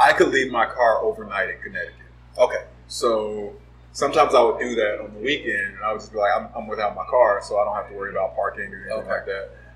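A man at a very fast pace in an American accent, with big swings in loudness. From Los Angeles, US West Coast. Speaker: advertising and marketing professional. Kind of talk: casual chat.

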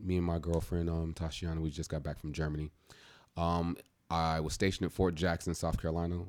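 Recorded very cleanly against a silent background, a man speaks with a very deep, low pitch. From Michigan. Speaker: actor and author. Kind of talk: casual chat.

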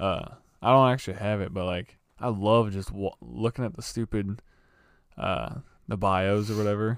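At a moderate pace, a man speaks with a fairly low pitch and ordinary pitch variation, leaving long, frequent pauses. The recording is very clean, with a silent background. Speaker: podcast co-host. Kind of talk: casual chat. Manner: casual, says bro a lot.

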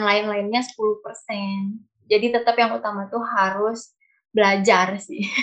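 A woman's fairly high voice with monotone, flat intonation. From Cianjur, West Java, Indonesia. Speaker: dancer and university student. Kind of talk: interview.

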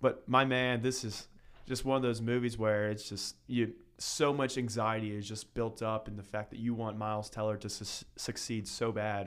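Here a man speaks at a medium pitch and moderate pace with an American accent. His delivery is monotone and flat, and the recording is very clean with a silent background. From Northern Kentucky. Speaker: podcast co-host, college student. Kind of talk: casual chat.

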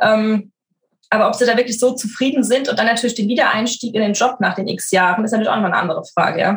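Speaking at a very fast pace, a woman uses a fairly high voice with ordinary pitch variation. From Frankfurt, Germany. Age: 30s. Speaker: working mother, corporate employee. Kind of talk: podcast interview.

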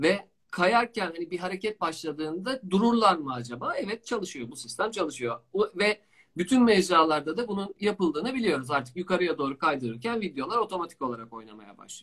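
A fairly quick delivery with big swings in loudness and very wide pitch swings. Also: man, high pitch for a man. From Istanbul, Turkey. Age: 40s. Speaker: digital marketing expert. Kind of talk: casual interview.

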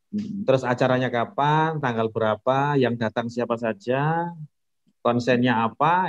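Here a man has an ordinary speaking voice with ordinary pitch variation. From Indonesia, Lamongan, East Java. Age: 40s. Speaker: village head. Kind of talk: casual interview.

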